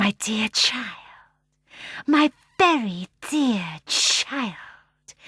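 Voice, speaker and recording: Using a put-on character voice at a fairly high pitch, a woman speaks very slowly with long, frequent pauses and a hissing sound. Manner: gentle, affectionate.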